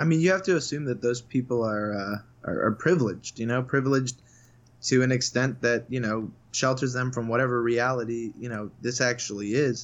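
A man with a plain, everyday voice talks at a fairly quick pace in a medium pitch, with ordinary pitch variation. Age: 20s. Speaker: sports journalist. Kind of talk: casual chat. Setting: video call.

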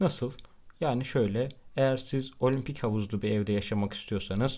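Moving at a moderate pace, the voice carries a dark, mellow tone and ordinary pitch variation. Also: man. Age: 20s. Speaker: podcast host, law student. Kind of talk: monologue. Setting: at home.

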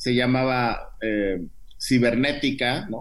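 The voice moves at a very slow pace, with audible room echo around it. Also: man. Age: 50s. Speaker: biotech entrepreneur. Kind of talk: interview.

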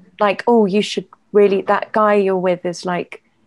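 A woman with an English accent talks at a moderate pace and a medium pitch. Her intonation is fairly even, and the sound is dry and close with no echo. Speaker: playwright and poet. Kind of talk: casual chat. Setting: video call.

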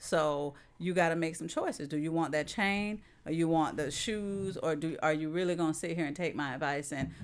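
A woman speaks with a fairly low pitch. Her pace is fairly quick, with ordinary pitch variation. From Florida, South St. Petersburg. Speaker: real estate investor. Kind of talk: interview.

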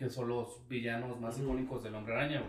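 In a Mexican accent, a man talks at a medium pitch and a fairly quick pace, with audible room echo. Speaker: podcast co-host. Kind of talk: casual chat.

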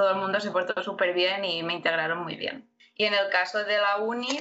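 A woman speaks at a moderate pace in a medium pitch, her intonation fairly even. She has an ordinary speaking voice. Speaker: immigrant and MBA student. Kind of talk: interview.

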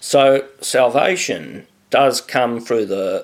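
A man with an Australian accent. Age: 40s. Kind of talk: formal debate.

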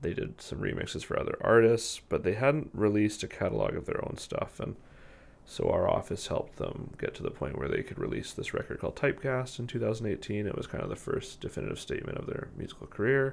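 A man speaks at a fairly quick pace. He has a Western Canadian accent. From Canada, Victoria, British Columbia. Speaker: music artist manager. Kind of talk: interview conversation. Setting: studio.

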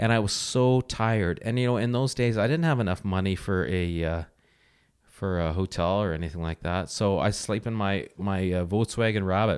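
This man has a fairly low pitch, ordinary pitch variation and an unremarkable speaking voice. The recording is very clean with a silent background. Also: moderate pace. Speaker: host's partner, podcast guest. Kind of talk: casual chat. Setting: home recording beside host.

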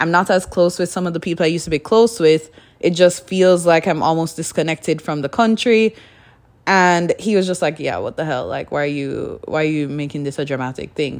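Speaking at a fairly quick pace, a woman uses a fairly low pitch with ordinary pitch variation. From Jamaica, Kingston. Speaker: podcaster. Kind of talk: casual solo monologue. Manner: mumbling; flowing, few pauses.

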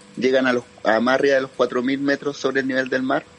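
A man over noticeable background noise. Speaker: caller. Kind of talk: casual chat.

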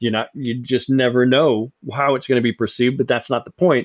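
This man has an ordinary speaking voice at a medium pitch. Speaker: podcast host. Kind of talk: casual chat.

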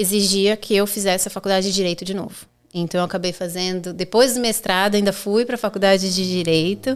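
The speaker has a São Paulo accent and a fairly quick pace, with fairly even intonation. The recording is very clean, with a silent background. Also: woman. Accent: Brazilian Portuguese, São Paulo (paulistano). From Brazil, São Paulo. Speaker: personal injury lawyer. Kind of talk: podcast interview.

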